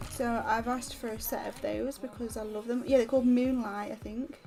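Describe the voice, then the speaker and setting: A soft-spoken woman mumbles in a high pitch with a British accent. Music plays in the background. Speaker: crafting livestreamer. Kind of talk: casual livestream chat while colouring. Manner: soft-spoken, quiet; fast, mumbling.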